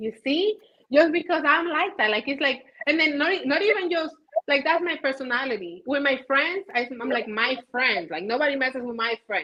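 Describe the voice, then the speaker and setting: An animated woman talks at a moderate pace, her high pitch full of lively intonation. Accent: Spanish. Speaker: caterer and business owner. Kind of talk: casual interview chat.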